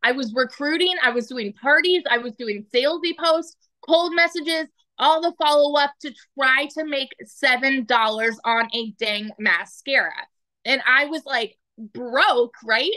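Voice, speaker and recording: A woman uses a raised, projected voice with a high pitch and a bright, sharp tone. The background is quiet. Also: fairly slow pace. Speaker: military spouse and mother; online business coach. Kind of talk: testimony. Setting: video call. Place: home room. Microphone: phone near.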